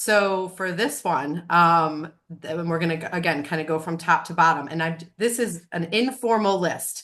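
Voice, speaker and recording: Against a quiet background, a woman with a normal speaking voice talks at a moderate pace, her pitch fairly low with ordinary variation. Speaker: web designer, business owner. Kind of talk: informal presentation. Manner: casual, filler-heavy.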